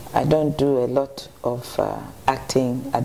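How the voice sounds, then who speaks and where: Against noticeable background noise, a woman speaks at a very slow pace. Her pitch is very deep and low. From Ghana, Accra. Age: 50s. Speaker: actress. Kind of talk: TV interview. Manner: hesitant, many fillers.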